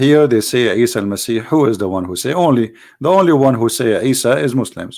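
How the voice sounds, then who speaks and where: In a very clean recording with a silent background, a man with an Arabic accent speaks fairly quickly at a medium pitch, his intonation lively. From Middle East. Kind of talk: religious talk show monologue. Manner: halting, repeats words; animated.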